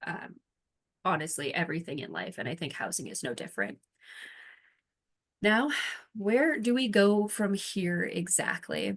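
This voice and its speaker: Speaking at a moderate pace, a woman uses a medium pitch with very wide pitch swings and vocal fry. She leaves long, frequent pauses. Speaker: presenter on housing collaboration. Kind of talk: presentation.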